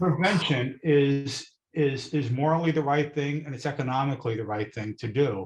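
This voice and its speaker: Somewhat breathy, a man speaks fairly slowly at medium pitch with ordinary pitch variation. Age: 70s. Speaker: audience member, retiree. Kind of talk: audience comment. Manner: halting, many fillers.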